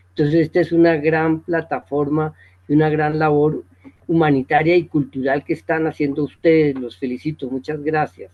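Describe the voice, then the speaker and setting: A man with a fairly high pitch speaks in a monotone, flat way at a moderate pace. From Colombia, Bogotá. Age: 70s. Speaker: retired teacher, author. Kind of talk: interview. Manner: formal; hesitant fillers.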